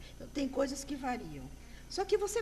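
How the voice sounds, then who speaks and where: The woman's voice is high in pitch, at a moderate pace. Noticeable background noise and audible room echo fill the recording. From Brazil. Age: 60s. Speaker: graphologist. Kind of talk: interview.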